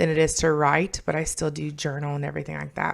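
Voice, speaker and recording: A woman talking at a fairly quick pace on a very clean recording with a silent background. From Kentucky, born in New York. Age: 30s. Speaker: vlogger, learning center manager and ESL teacher. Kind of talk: casual vlog monologue. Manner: casual, with frequent fillers.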